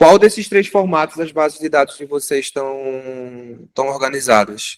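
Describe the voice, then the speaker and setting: A man with a plain, everyday voice talks at a moderate pace in a fairly high pitch, his intonation lively and his loudness swinging widely. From Brazil, Recife (Pernambuco). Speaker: fisheries engineer teaching a course. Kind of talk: hands-on tutorial class.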